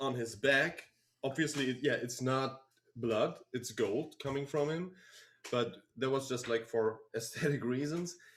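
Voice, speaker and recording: With a German accent, a man with a fairly high pitch speaks at a fairly slow pace. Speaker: band member. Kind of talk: live stream Q&A. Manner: halting.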